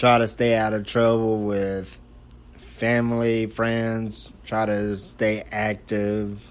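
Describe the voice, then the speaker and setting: A man with an American accent talks at a very slow pace in a fairly low, relaxed voice with monotone, flat intonation. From Texas, Texarkana. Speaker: amateur podcaster. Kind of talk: casual monologue. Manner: casual, relaxed.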